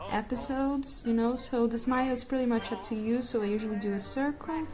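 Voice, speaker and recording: A woman with a non-native accent speaks at a moderate pace in a high voice, with ordinary pitch variation. Music plays in the background. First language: not English. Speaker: art tutorial creator. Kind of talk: drawing tutorial. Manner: casual, hesitant with fillers.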